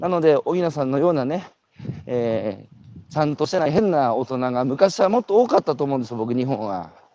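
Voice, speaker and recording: Fairly high in pitch, a man speaks at a fairly quick pace with lively intonation. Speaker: radio host. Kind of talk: casual chat. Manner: walking while talking.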